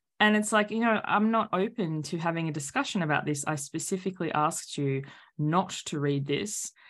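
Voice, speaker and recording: A woman talks at a fairly quick pace with lively intonation. The recording is very clean, with a silent background. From Australia. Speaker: author and coach. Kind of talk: casual interview chat.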